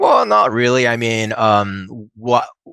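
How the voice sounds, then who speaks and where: A bright, sharp voice at a fairly slow pace, dry and close with no echo, against a quiet background. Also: man. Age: 30s. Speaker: startup founder and CEO. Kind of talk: interview. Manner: halting, many fillers.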